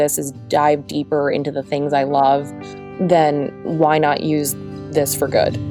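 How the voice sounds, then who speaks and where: With music in the background, a woman speaks in an American accent. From Southwest Florida. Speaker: radio reporter. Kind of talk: podcast interview answer. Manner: casual, conversational.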